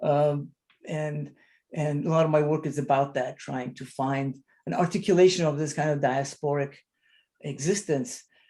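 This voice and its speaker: A man's voice, pitched fairly high, carries a dark, mellow tone with a somewhat breathy quality. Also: ordinary pitch variation, moderate pace. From Lebanon (Armenian community of Beirut). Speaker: photographer/artist. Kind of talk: panel discussion. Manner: halting, many repetitions and fillers.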